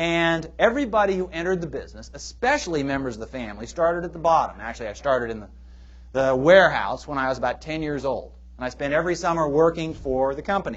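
A man with an American accent speaks at a very fast pace, his loudness swinging widely. Room echo is audible. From US Pacific Northwest, Portland, Oregon. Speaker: history professor. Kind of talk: audience Q&A; public lecture. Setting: stage with audience. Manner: halting, with fillers.

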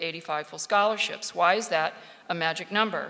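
A woman's fairly low voice at a moderate pace, amid noticeable background noise. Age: 50s. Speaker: sports sociology panelist. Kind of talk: panel discussion.

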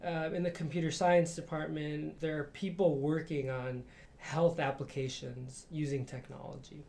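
A man with an American accent speaks at a moderate pace in a fairly high pitch, using a normal speaking voice. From Chicago, Mexican American neighborhood. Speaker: professor and researcher. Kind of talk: interview.

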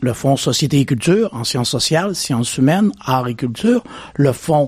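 A man's somewhat breathy voice moves at a moderate pace, his intonation lively. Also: dry, close sound with no echo. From Quebec, Beauce region. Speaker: chief scientist, neuroscience researcher. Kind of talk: radio interview. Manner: hesitant, frequent fillers.

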